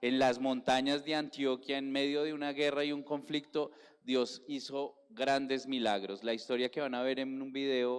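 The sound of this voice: At a moderate pace, a man talks in a clear, smooth tone.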